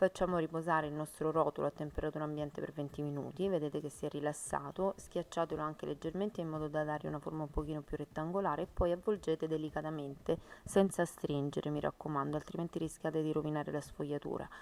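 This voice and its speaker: A woman with a very deep, low pitch speaks very fast in a flat monotone, with hardly any pauses. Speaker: home cooking youtuber. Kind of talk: cooking tutorial.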